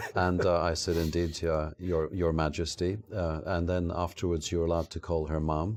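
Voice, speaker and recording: A man with a Scottish accent talks in a very deep, low pitch with monotone, flat intonation, at a moderate pace and with hardly any pauses. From Scotland. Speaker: former pharmaceutical company CEO. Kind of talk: interview.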